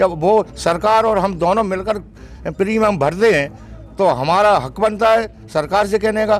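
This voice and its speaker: A man with a high pitch and ordinary pitch variation, at a moderate pace. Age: 60s. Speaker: farmer. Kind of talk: interview.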